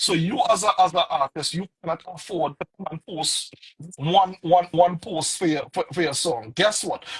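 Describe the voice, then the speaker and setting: This man has a Trinidadian accent and a high pitch, with ordinary pitch variation. He keeps a moderate pace, and the sound is dry and close with no echo. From Trinidad and Tobago. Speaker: music producer and artist manager. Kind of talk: interview. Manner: repetitive, halting restarts.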